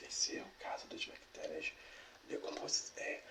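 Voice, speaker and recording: A man whispers at a fairly slow pace. There is noticeable background noise. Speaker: ASMR creator reading a biology text aloud. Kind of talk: ASMR educational reading. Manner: soft-spoken, whispering, stumbling over difficult words.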